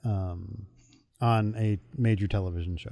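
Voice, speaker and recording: Over a quiet background, a man with an American accent speaks at a fairly slow pace in a dark, mellow tone with fairly even intonation. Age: 40s. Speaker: podcast co-host. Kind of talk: casual chat.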